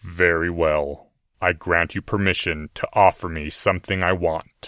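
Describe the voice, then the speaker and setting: A man's put-on character voice, very deep and low, with monotone, flat intonation. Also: moderate pace. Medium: read story. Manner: measured, cold, precise.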